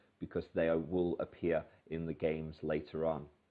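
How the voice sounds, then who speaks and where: A man with a British accent speaks in a very deep, low pitch with monotone, flat intonation. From Britain. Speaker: English teacher. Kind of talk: tutorial. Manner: hesitant, many fillers.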